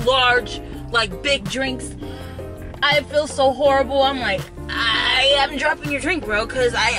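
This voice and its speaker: With music in the background, a raised, projected voice speaks at a fairly slow pace with ordinary pitch variation. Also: woman. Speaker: vlogger. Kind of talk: casual vlog chat. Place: car. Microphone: phone near.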